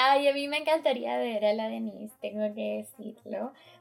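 A woman with a fairly high pitch speaks at a fairly slow pace in a somewhat breathy voice. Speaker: podcast co-host. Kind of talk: panel discussion.

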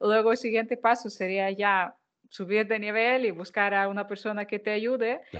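A woman's fairly high, monotone, flat voice at a moderate pace. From Ukraine. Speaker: food marketing consultant and content creator. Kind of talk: interview.

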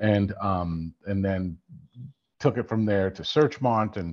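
A man speaks with an ordinary speaking voice at a fairly low pitch. His pitch variation is ordinary, and the background is quiet. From Ontario, Canada. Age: 50s. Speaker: sports business executive and film producer. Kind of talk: interview.

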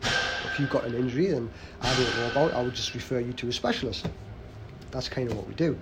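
Ordinary pitch variation marks this man's speech at a fairly quick pace. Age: 30s. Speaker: gym owner and fitness coach. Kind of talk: casual podcast chat.

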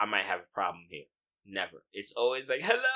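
A man with an American accent and a bright, sharp tone. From US, Haitian heritage.

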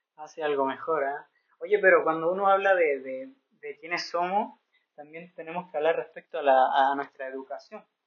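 At a moderate pace, a man with a normal speaking voice and fairly high pitch shows ordinary pitch variation and big swings in loudness. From Santiago, Chile. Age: 20s. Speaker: missionary podcaster. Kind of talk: casual chat.

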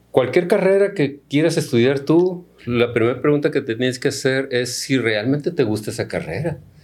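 With an unremarkable speaking voice, a man talks at a moderate pace and fairly high pitch, using ordinary pitch variation and hardly any pauses. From Mexico, Culiacán, Sinaloa. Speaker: agronomy professor and researcher. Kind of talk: interview.

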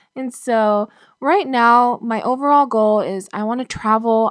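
Recorded very cleanly against a silent background, dry and close with no echo, a woman speaks at a fairly high pitch with ordinary pitch variation. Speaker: former foster youth sharing her story. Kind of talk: interview testimony. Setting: makeshift home studio. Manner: hesitant, many fillers.

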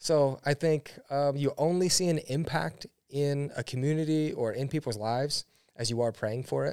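A man with an American accent and an ordinary speaking voice talks at a moderate pace and fairly high pitch with ordinary pitch variation, in a dry, close sound with no echo on a very clean recording with a silent background. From US Midwest, Ohio. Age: 30s. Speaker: pastor. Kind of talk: interview.

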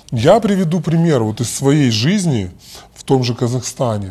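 A man speaks at a moderate pace with lively intonation. His tone is dark and mellow, and somewhat breathy. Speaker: bank executive and lecturer. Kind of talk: casual interview. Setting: remote call. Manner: halting, with many repetitions.

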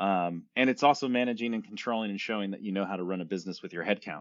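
Someone speaks with fairly even intonation in an American accent. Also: man. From US, San Francisco Bay Area. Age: 40s. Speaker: creative agency founder. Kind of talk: podcast interview.

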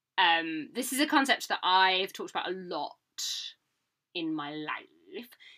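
A woman with a British accent, medium pitch and a bright, sharp tone, very wide pitch swings, a fairly slow pace and long, frequent pauses. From Britain. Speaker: podcast co-host. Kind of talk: casual chat.

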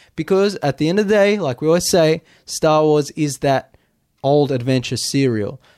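A normal speaking voice at a moderate pace, with ordinary pitch variation, comes through a dry, close sound with no echo. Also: man. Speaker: podcast co-host. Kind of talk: casual podcast chat. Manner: rambling, conversational.

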